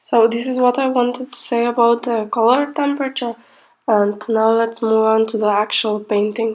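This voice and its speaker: A quiet woman speaks in a fairly high voice with monotone, flat intonation. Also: moderate pace. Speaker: pastel painting artist. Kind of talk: tutorial voiceover. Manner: quiet, sleepy-sounding.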